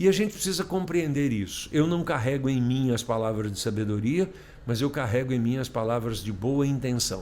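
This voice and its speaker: A man's lively intonation at a moderate pace, with audible room echo. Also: medium pitch for a man. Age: 60s. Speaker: emotional intelligence specialist. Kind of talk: casual chat.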